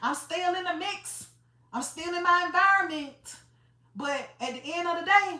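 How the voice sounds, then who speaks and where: An extremely high-pitched woman's raised, projected voice in an Atlanta accent, bright and sharp in tone, with ordinary pitch variation at a moderate pace and audible room echo. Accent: Southern US, Atlanta. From US South, Atlanta, Georgia. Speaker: motivational livestreamer. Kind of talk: motivational livestream talk. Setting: livestream. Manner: casual, conversational.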